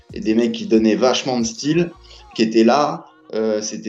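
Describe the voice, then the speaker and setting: Moderate-paced male speech, ordinary pitch variation, noticeable noise behind it. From Paris. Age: 40s. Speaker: film director and former graffiti artist. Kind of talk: casual interview.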